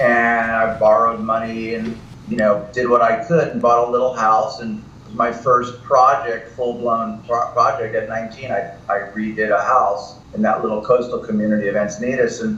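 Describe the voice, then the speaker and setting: Over noticeable background noise and audible room echo, a man speaks at a moderate pace and medium pitch with monotone, flat intonation. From US East Coast. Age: 60s. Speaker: real estate broker. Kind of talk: podcast interview.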